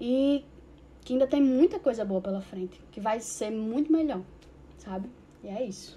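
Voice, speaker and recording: Moderate pacing and lively intonation, with long pauses coming often. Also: woman, fairly high pitch for a woman. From Brazil, Mossoró. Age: 20s. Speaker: interviewee sharing LGBTQIA+ experience. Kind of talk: personal testimony.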